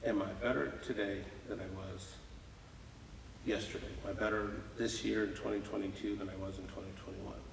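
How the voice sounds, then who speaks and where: Fairly quick, fairly even speech in an American accent, with long, frequent pauses, noticeable background noise and audible room echo. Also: man, fairly low pitch for a man. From Muscatine, Iowa, US Midwest (born Houston, Texas). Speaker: business leader, mentor. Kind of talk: podcast interview. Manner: repeats words, halting starts.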